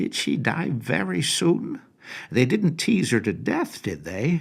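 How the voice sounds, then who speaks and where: A man speaks in a put-on character voice. His pitch is medium and his pace fairly slow. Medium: read story. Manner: blunt, nosy.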